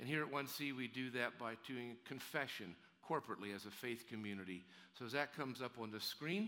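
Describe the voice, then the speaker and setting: Medium-pitched speech from a man in a plain, everyday voice, at a moderate speed with ordinary pitch variation. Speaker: pastor. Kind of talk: sermon and church announcements. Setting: church.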